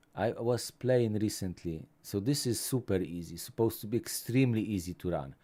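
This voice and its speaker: A man with a Polish accent at fairly low pitch, dark and mellow in tone, lively in intonation, at a moderate pace, in a very clean recording with a silent background. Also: long, frequent pauses. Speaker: tech YouTuber. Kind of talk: live stream chat.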